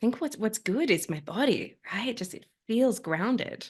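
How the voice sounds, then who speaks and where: Against a quiet background, someone with an Australian accent speaks at a fairly quick pace. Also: woman. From Australia, Sydney. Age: young. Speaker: climate activist and life coach. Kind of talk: interview.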